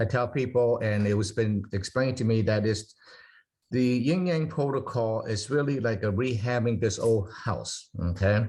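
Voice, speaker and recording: A man's voice has a dark, mellow tone and is somewhat breathy. His loudness stays very even, and his pitch varies in an ordinary way. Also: medium pitch for a man, moderate pace. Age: 60s. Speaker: product presenter. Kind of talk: Zoom Q&A presentation. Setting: video call. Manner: halting.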